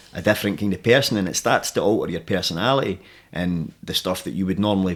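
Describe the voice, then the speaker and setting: Here a man speaks in a Central Belt Scottish accent with a very deep, low pitch. His pace is very fast and his intonation fairly even. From Scotland, Alloa (Clackmannanshire). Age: 30s. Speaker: MMA fighter and jiu-jitsu coach. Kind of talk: casual interview chat.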